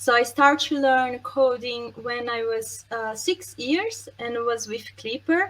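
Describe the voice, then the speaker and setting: A woman with a Brazilian accent talks in a high voice at a fairly slow pace, barely pausing. Her pitch varies in an ordinary way. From Brazil, Santos. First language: Portuguese. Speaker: software testing expert, conference speaker. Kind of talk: conference talk. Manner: hesitant, many fillers.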